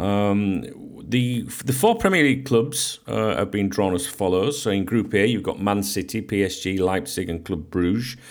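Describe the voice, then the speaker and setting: A man with a fairly low pitch and an unremarkable speaking voice talks at a moderate pace with ordinary pitch variation. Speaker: football podcast host. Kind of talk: radio dj patter: friendly sign-on, news and rumour rundown, cheery sign-off. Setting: home recording, podcast. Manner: chatty, upbeat and conversational, with filler 'uh' and 'um' and casual greetings.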